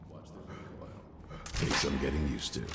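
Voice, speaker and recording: A man puts on a character voice with a very deep, low pitch and talks at a very fast pace. Loud background noise runs underneath. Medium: video game. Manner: brusque, commanding.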